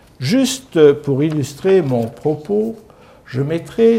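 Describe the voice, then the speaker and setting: A man's fairly high voice with very wide pitch swings, very slow pace and audible room echo. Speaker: lecturer, former senior civil servant. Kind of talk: lecture. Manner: calm, peaceful tone.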